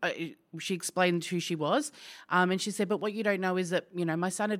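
Speaking at a fairly quick pace, a woman uses medium pitch and ordinary pitch variation on a very clean recording with a silent background. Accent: Australian. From Australia, outer suburbs of Melbourne. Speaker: business owner. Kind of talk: interview. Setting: office.

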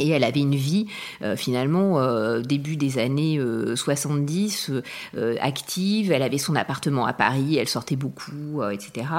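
The woman's voice is very deep and low in pitch. She speaks at a fairly slow pace with lively intonation. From France, Charente-Maritime (southwest). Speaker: interviewee sharing family story. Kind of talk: personal testimony. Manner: hesitant, many fillers.

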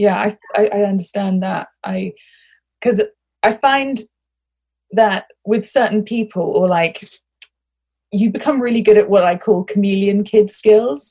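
At a fairly slow pace with long, frequent pauses, a woman speaks in a somewhat breathy, medium-pitched voice with ordinary pitch variation. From international upbringing, British passport. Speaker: podcast host. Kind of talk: casual chat. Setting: recording inside a wardrobe at home.

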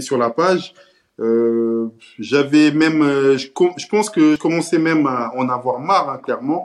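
Very slow, fairly high-pitched male speech with ordinary pitch variation. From Cape Verde (Santiago island), moved to France at 10. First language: Cape Verdean Creole (speaking French). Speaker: social media page creator. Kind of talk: casual interview. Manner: hesitant, many fillers and repetitions.

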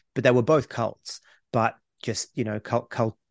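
A man with an Australian accent speaks at a moderate pace. The sound is dry and close with no echo, over a quiet background. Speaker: podcast co-host. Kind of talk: casual chat.

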